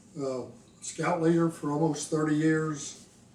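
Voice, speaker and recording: Over noticeable background noise, a man with fairly high pitch talks at a moderate pace in a monotone, flat intonation. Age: 70s. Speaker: retired engineer with ALS sharing his experience. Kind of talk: personal video diary. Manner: casual, with fillers.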